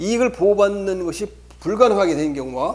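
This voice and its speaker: A man's high-pitched voice moves along at a fairly quick pace. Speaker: law lecturer. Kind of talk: lecture. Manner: halting, many repetitions and fillers.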